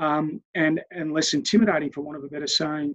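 A man's high-pitched voice, dry and close with no echo. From Australia. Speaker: head of a university residential college. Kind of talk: interview. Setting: video call. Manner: halting, with many fillers.

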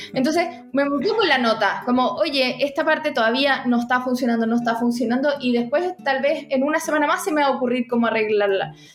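A woman with a Chilean accent speaks at a high pitch and a fairly quick pace, with ordinary pitch variation and very even loudness. Noticeable background noise runs underneath. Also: hardly any pauses. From Chile, Santiago. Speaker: author and university teacher. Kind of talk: interview about writing craft. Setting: podcast recording.

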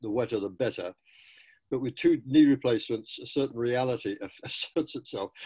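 In a British accent, a man with a dark, mellow tone and medium pitch speaks at a moderate pace on a very clean recording with a silent background. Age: 80s. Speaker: professor and running writer. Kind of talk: interview.

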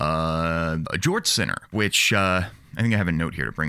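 The man's tone is bright and sharp. He talks at a fairly quick pace. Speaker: podcast host. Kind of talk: casual comedic chat. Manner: rambling, self-interrupting, jokey.

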